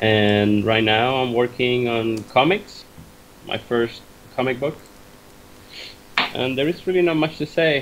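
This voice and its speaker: With a Spanish accent, a man talks at a fairly slow pace and a medium pitch. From Cuba, Havana. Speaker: concept artist and comic artist. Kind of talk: interview.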